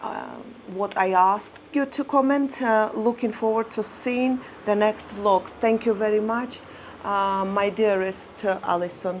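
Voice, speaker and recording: Speaking at a fairly slow pace with a non-native accent, a woman of medium pitch shows ordinary pitch variation. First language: not English. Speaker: lifestyle vlogger. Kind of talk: personal life story monologue to camera. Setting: seated in front of camera. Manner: halting, many fillers.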